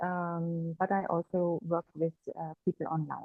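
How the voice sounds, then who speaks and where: Speaking in a German accent, a woman uses a fairly low pitch. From Germany. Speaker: energy therapist. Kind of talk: interview conversation. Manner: hesitant, many fillers.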